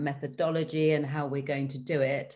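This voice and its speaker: In a British accent, a woman speaks at a moderate pace with a very deep, low pitch and monotone, flat intonation. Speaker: government development official. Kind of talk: panel presentation. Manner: hesitant fillers.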